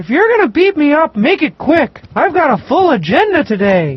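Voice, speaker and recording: In a put-on character voice, the speaker uses a high pitch with very wide pitch swings. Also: moderate pace. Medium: video game. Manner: mopey, dejected.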